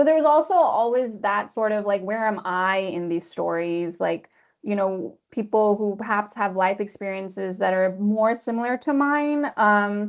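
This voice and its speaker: Speaking with an American accent at a moderate pace, a woman uses a normal speaking voice of medium pitch, ordinary pitch variation and hardly any pauses. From Pakistan. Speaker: literary translator. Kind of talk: webinar panel discussion. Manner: casual, many fillers.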